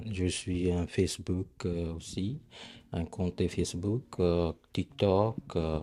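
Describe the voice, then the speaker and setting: In a very clean recording with a silent background, a man with a Punjabi accent talks very slowly in a dark, mellow tone and a very deep, low pitch. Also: ordinary pitch variation. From Punjab, northern India. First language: Punjabi (speaking French). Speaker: Sikh temple leader. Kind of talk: interview testimony. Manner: halting.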